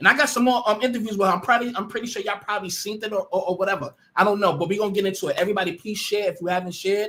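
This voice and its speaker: A man's high, raised, projected voice, animated in tone and very fast in pace. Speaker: livestream commentator. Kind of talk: live stream commentary.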